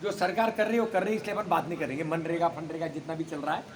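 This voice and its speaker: A man's high-pitched voice, with ordinary pitch variation, is heard through noticeable background noise. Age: 70s. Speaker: retired senior government official. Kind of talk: public talk at a meeting.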